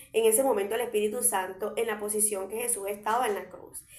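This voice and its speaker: A woman speaks at a fairly quick pace with fairly even intonation, and audible room echo is present. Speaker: preacher. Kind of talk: sermon. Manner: loud. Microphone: viewers say audio is very quiet.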